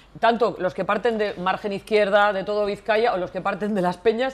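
Fairly high in pitch, a woman speaks at a fairly quick pace. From Portugalete, Basque Country. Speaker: TV presenter. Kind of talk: live TV show. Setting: studio. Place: studio.

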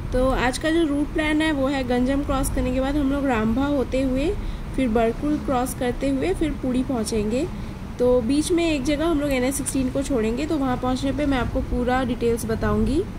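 Against noticeable background noise, a woman keeps a moderate pace, fairly even intonation and very even loudness. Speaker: travel vlogger. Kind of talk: casual vlog chat. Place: car.

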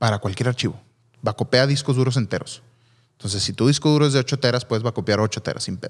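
Talking at a very fast pace with a Mexican accent, a man holds a medium pitch with ordinary pitch variation against a quiet background. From Mexico. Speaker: photographer and videographer podcast co-host; videographer podcast co-host. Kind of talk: casual chat. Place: studio. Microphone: studio mic.

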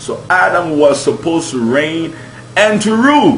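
A man's voice with audible room echo over light background noise. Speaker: preacher. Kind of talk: sermon. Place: home room. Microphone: webcam.

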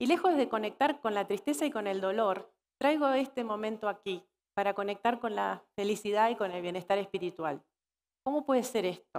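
At a moderate pace, a woman speaks in a fairly high voice. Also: lively intonation. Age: 40s. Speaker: keynote speaker on workplace wellbeing and purpose coaching; keynote speaker, purpose coaching. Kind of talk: conference keynote talk. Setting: stage with live audience at a corporate congress. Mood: warm, reflective. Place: stage.

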